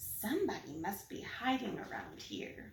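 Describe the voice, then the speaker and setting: Using a put-on character voice, a woman speaks at a medium pitch and a moderate pace, with a slight echo. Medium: read story.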